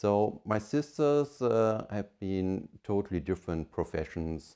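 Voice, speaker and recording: A man's very slow, fairly low-pitched voice with a dark, mellow tone and a German accent. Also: quiet background. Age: 50s. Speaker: family business leader. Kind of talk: interview monologue. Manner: hesitant with fillers.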